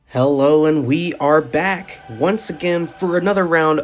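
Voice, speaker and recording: Music sounds in the background. A man speaks with ordinary pitch variation. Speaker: toy monster truck race commentator. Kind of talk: sports-style play-by-play commentary.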